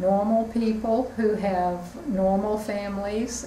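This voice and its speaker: Through audible room echo and noticeable background noise, a woman with a Southern US accent speaks with fairly even intonation. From US South, Richmond, Virginia. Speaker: head of a spiritual society. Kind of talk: interview statement.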